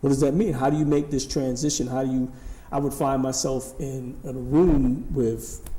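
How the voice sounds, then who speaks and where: A medium-pitched man at a moderate pace, with noticeable background noise and audible room echo. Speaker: author and speaker on career transition. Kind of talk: talk show interview. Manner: animated, varied inflection.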